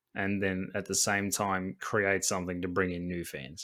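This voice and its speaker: A man with an Australian accent on a very clean recording against a silent background. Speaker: podcast host. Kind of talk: casual chat.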